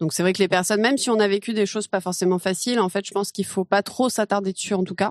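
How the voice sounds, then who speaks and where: A woman's medium-pitched voice at a very fast pace with fairly even intonation and hardly any pauses, dry and close with no echo, over a quiet background. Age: 30s. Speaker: recruiter. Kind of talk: interview. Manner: casual, hesitant fillers.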